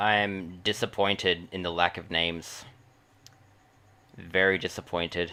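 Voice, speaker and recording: Loud and monotone, a man with a very deep, low pitch and a bright, sharp tone speaks at a moderate pace with long, frequent pauses. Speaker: gaming streamer. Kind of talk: casual livestream commentary. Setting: livestream.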